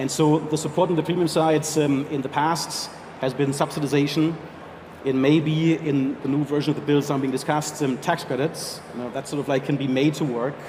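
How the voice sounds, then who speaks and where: A man speaks fairly quickly with a strong German accent and a fairly high pitch. His intonation is monotone and flat, with noticeable background noise. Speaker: health insurance executive. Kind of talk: panel interview.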